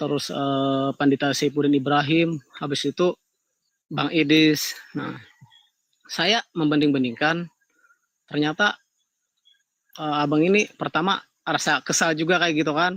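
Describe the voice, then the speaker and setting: A man with a Kalimantan accent speaks at a fairly slow pace with long, frequent pauses. His pitch is fairly high, his intonation fairly even, and the sound is dry and close with no echo. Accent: Kalimantan Indonesian. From Kalimantan, Indonesia. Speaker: caller. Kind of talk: live call-in discussion.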